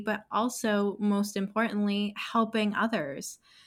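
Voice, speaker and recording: On a very clean recording with a silent background, a woman at medium pitch uses a normal speaking voice at a fairly slow pace. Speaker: podcast host. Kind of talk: casual interview chat.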